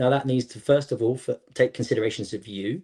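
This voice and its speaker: At a very fast pace, a man talks at medium pitch in a dark, mellow, somewhat breathy tone with ordinary pitch variation. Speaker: gymnastics coach and coaching company founder. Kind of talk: podcast interview.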